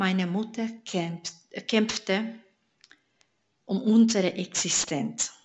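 This woman's medium-pitched voice carries a Hungarian accent. Her pitch variation is ordinary. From Hungary. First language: Hungarian (speaking German). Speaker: church member giving testimony. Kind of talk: testimony.

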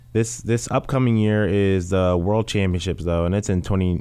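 A man talks with an American accent in a plain, everyday voice. His pitch is fairly low, with ordinary variation, at a moderate pace. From US South, Louisville, Kentucky. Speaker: professional sprinter. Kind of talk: interview.

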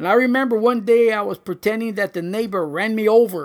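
Recorded very cleanly against a silent background, a man speaks in a high voice at a moderate pace with ordinary pitch variation. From Los Angeles, US. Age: 50s. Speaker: pastor. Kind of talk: testimony.

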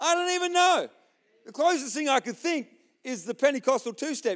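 It is a very clean recording with a silent background. The man talks with an Australian accent. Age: 40s. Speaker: pastor. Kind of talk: sermon. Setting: church.

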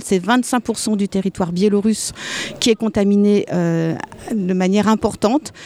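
An ordinary speaking voice from a woman, medium in pitch, at a moderate pace with fairly even intonation and a dry, close sound with no echo. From Alsace, France. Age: 60s. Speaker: midwife and anti-nuclear activist. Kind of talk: testimony.

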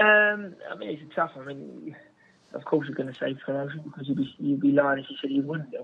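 With a plain, everyday voice, a man speaks at a fairly quick pace and fairly high pitch, showing ordinary pitch variation and big swings in loudness. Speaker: footballer. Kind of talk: interview answers. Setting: phone call.

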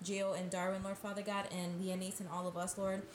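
A woman's medium-pitched, flat monotone over noticeable background noise. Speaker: nursing student and wife. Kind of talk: casual chat.

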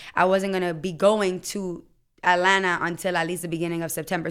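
Very fast, fairly low-pitched speech from a woman with an American accent, a bright, sharp tone and fairly even intonation, in a very clean recording with a silent background. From US Virgin Islands. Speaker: podcaster. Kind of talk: casual chat. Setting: radio studio.

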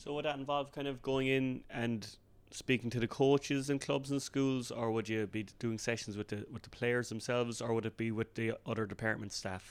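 Here is a man with a normal speaking voice at a medium pitch. He keeps a moderate pace and fairly even intonation. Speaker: podcast host. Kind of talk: interview.

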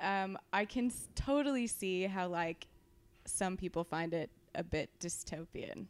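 A woman speaks with a Californian accent at a medium pitch with ordinary variation. The recording is very clean with a silent background. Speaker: stand-in co-host. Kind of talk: casual chat.

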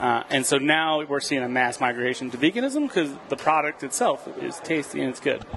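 Fairly quick speech in an American accent, hardly any pauses, ordinary pitch variation, and noticeable background noise. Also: man, fairly high pitch for a man. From Philadelphia, US. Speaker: grocery market owner. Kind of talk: casual chat. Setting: studio kitchen.

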